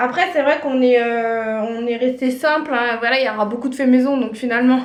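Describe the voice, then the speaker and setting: Amid noticeable background noise, a woman with a high pitch speaks at a fairly quick pace with fairly even intonation. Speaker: vlogger, mother of a large family. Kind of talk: casual vlog talk to camera. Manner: halting, with frequent hesitations.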